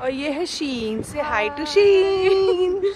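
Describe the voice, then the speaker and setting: Noticeable background noise and audible room echo surround a woman whose voice has very wide pitch swings. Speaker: travel vlogger. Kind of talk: travel vlog.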